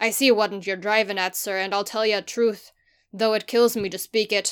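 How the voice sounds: The intonation stays fairly even. It is a natural reading voice over a quiet background.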